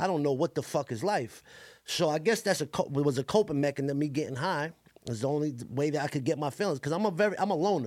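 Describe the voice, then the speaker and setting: Talking at a very fast pace, a man uses a Brooklyn accent. His fairly high voice shows ordinary pitch variation. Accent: New York City (Brooklyn). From Brooklyn, New York (Coney Island). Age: 30s. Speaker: rapper. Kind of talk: casual interview chat.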